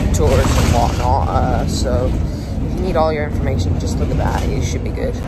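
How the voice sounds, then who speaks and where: A man talks at a moderate pace. Music plays behind him. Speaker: bus enthusiast vlogger. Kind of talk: casual vlog commentary. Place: bus. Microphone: phone near.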